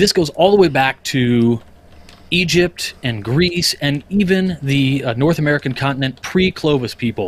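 At a fairly slow pace, a man with a fairly high pitch speaks with lively intonation in a somewhat breathy voice. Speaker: podcast panelist giving a lodge education presentation. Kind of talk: casual, conversational lecture style.

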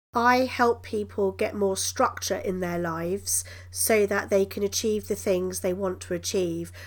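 In a British accent, a woman talks at a fairly slow pace. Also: hardly any pauses, very clean recording, silent background. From Britain. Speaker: coaching psychologist. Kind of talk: interview.

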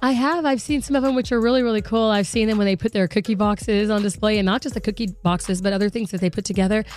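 A woman talks at a very fast pace with hardly any pauses, fairly high pitch and ordinary pitch variation. Her tone is animated and her loudness very even. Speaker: radio host. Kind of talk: casual chat. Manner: talkative, animated.

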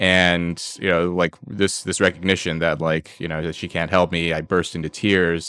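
A man with an American accent speaks at a moderate pace with hardly any pauses, his very deep, low voice bright and sharp in tone, monotone and flat, in a very clean recording with a silent background. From US, Los Angeles. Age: 30s. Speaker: PhD student and writer. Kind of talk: casual interview conversation. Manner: halting, many repetitions and fillers.

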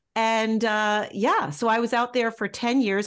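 A woman speaks in an ordinary speaking voice at medium pitch with ordinary pitch variation. The background is quiet. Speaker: nonprofit leader and caregiver. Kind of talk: interview.

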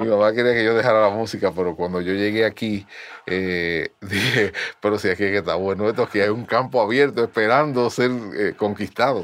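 In an ordinary speaking voice, a man talks at a fairly quick pace with a fairly low pitch and fairly even intonation. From Dominican Republic, San Francisco de Macorís. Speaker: merengue bandleader and pianist. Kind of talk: interview.

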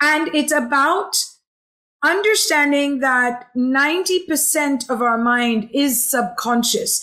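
Her high, bright, sharp voice is raised and projected, with lively intonation. The woman speaks at a very slow pace and very even loudness. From Hong Kong. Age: 40s. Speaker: happiness coach and healer. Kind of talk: casual chat. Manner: animated.

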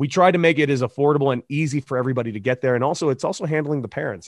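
A man speaks very fast with an American accent. The sound is dry and close with no echo, over a quiet background. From Southern California (Santa Monica, Los Angeles). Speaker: former professional baseball player and coach. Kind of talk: casual interview.

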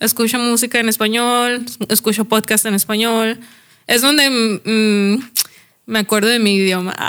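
On a very clean recording with a silent background, a woman speaks slowly-ish at a fairly slow pace in a fairly high pitch, with monotone, flat intonation and very even loudness. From northern Mexico, Chihuahua area. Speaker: podcast guest. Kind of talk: casual chat.

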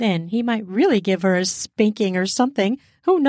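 The clip features someone reading aloud in a natural voice.

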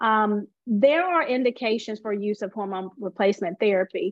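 A woman speaks at a moderate pace with an American accent, using a plain, everyday voice and ordinary pitch variation. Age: 40s. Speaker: physician. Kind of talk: interview.

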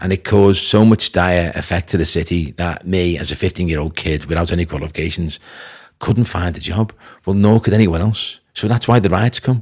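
On a very clean recording with a silent background, a man with a Liverpool accent talks at a fairly quick pace in a very deep, low voice. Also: ordinary pitch variation. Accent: Scouse (Liverpool). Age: 50s. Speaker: businessman. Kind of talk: podcast interview.

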